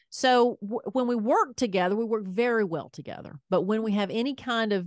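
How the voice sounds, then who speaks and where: Heard over a quiet background with a dry, close sound and no echo, the voice has a strong Southern US accent and ordinary pitch variation. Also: woman. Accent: thick Southern US. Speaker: podcast host, former radio host. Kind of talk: casual chat.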